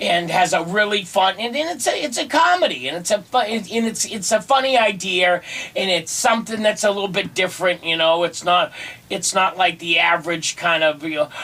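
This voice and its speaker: Over noticeable background noise, a man talks at a fairly quick pace in a raised, projected voice with a high pitch. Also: ordinary pitch variation. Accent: American. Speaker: stand-up comedian. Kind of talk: radio interview answer. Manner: conversational, casual, hesitant.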